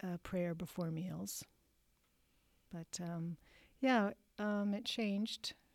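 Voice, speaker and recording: A woman speaks at a very slow pace and a medium pitch. The recording is very clean, with a silent background. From US Midwest, finished school in South Dakota. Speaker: middle school science teacher and church music leader. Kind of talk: casual interview.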